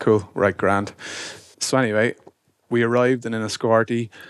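The speaker is a man. He has an Irish accent. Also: dry, close sound with no echo. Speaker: businessman, brother of the host. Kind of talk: casual chat. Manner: teasing, bantering.

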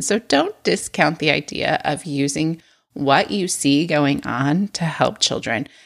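A woman's normal speaking voice, a normal speaking voice, with lively intonation at a fairly slow pace, on a very clean recording with a silent background. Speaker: podcast host and preschool teacher. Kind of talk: solo podcast tutorial.

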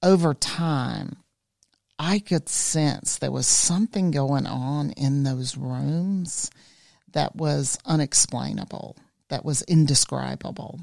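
A woman speaks at a very slow pace with a Southern US accent. The recording is dry and close, with no echo. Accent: Southern US (Georgia). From US South, rural South Georgia. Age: 50s. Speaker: life coach and spiritual guide. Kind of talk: casual chat.

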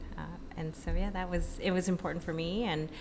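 A woman speaks at a moderate pace. Music plays in the background, and there is audible room echo. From Filipino background. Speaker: fitness entrepreneur. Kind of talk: casual interview. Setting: hotel.

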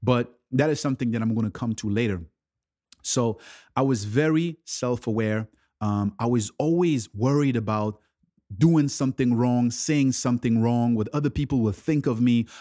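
In a very clean recording with a silent background and a dry, close sound with no echo, a man speaks at medium pitch and moderate pace with a dark, mellow tone and ordinary pitch variation. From Ivory Coast. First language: French. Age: 30s. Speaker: mindset coach. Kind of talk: podcast monologue. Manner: enthusiastic; hesitant, many fillers and repetitions.

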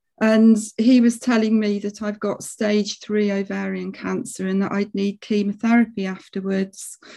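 At a moderate pace and with hardly any pauses, the voice has a dark, mellow tone and a monotone, flat intonation. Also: woman, medium pitch for a woman. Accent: English. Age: 50s. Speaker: palliative care nurse. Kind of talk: casual chat. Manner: halting.

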